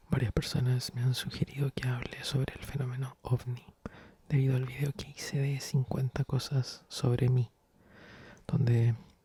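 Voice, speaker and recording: A man speaks at a medium pitch and fairly slow pace with a dark, mellow tone, somewhat breathy and monotone, flat in intonation. The sound is dry and close, with no echo. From Chile. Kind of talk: ASMR soft-spoken storytelling. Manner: soft-spoken.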